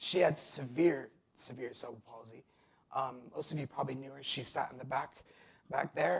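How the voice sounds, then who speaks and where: With an American accent, a man talks at a fairly quick pace in a somewhat breathy, fairly high-pitched voice. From Nevada, US (adopted from abroad). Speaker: testimony speaker. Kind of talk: testimony.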